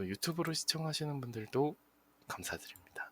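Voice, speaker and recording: This man's voice is somewhat breathy, with lively intonation. The sound is dry and close, with no echo. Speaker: internet radio host. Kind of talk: live radio show sign-off. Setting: live streamed broadcast with chat.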